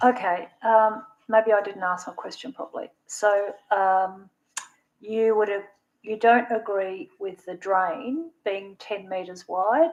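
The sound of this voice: A woman talks at a slow pace. Her pitch is medium, with ordinary pitch variation.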